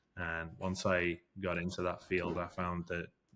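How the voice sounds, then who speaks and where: A man with a British accent speaks at a very deep, low pitch in a monotone, flat intonation. The recording is very clean, with a silent background. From England/UK. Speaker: forensic investigator. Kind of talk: interview. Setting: studio. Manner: hesitant, many fillers.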